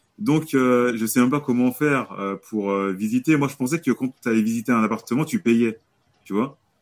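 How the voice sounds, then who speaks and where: With an unremarkable speaking voice, a man talks at a medium pitch and moderate pace with ordinary pitch variation, in a dry, close sound with no echo. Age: 30s. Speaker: real estate investor. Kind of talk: casual interview.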